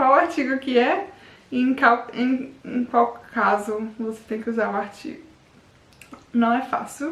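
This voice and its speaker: The speaker is a woman with a high pitch. Noticeable background noise runs underneath. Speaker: language learning youtuber. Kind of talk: casual vlog tutorial. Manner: informal, with false starts.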